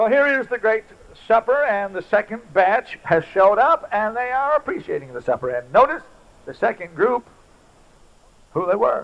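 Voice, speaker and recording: This man talks at a moderate pace with a high pitch and lively intonation. He leaves long, frequent pauses. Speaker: evangelist preacher. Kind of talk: revival sermon with altar call and faith-healing prayer. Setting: church service before a live congregation. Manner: fervent, punctuating lines with hallelujahs. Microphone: old recording.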